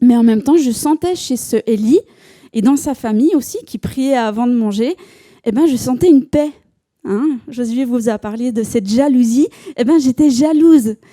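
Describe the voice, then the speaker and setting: In a Swiss accent, the speaker has a dark, mellow tone, ordinary pitch variation and a moderate pace, recorded dry and close with no echo. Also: woman, high pitch for a woman. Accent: Neuchâtel Swiss French. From Switzerland, Neuchâtel. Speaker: church member giving testimony. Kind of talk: testimony. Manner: hesitant, many fillers and repetitions.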